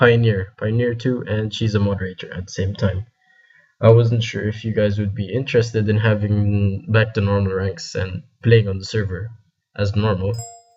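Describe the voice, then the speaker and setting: A man speaks in a somewhat breathy voice at a fairly low pitch. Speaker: game server admin leading staff meeting. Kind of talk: casual group meeting.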